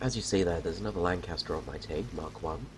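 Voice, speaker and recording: There is noticeable background noise as a man with a very deep, low pitch speaks in very wide pitch swings. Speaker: gaming YouTuber. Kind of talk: gameplay commentary. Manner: casual, hesitant.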